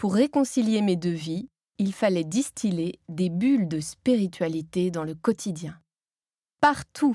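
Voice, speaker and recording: Her voice is dark and mellow at a medium pitch, moving very slowly through very wide pitch swings. The woman is recorded very cleanly against a silent background, with a dry, close sound and no echo. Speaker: author and Zen Buddhist nun, former voice teacher. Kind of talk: audiobook reading of her own book. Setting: professional recording studio.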